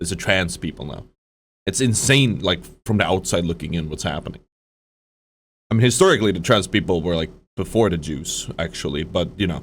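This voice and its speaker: A fairly quick, lively delivery in a Swedish accent, broken by long, frequent pauses. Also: man, very deep, low pitch for a man. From Sweden. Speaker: streamer reacting to a video. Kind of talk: live stream reaction commentary. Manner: halting, many fillers and restarts.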